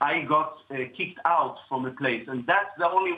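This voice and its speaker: With an Israeli accent, a man talks at a fairly quick pace in a fairly high pitch over noticeable background noise. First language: Hebrew. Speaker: cellist. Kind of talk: interview.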